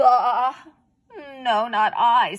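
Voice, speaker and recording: This is a put-on character voice from a woman. Her pitch is high. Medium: read story. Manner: curt, bleating.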